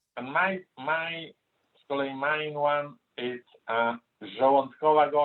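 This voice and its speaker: This man talks at a very slow pace. His intonation stays fairly even. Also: fairly high pitch for a man. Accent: Polish. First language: Polish. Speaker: interview guest. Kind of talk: casual chat. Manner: halting.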